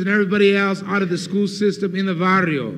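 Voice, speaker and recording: A man with an American accent speaks at a high pitch. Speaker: Chicano movement leader and activist. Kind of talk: political speech to a student audience. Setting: university lecture hall, 1969 recording. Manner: fiery, passionate, persuasive.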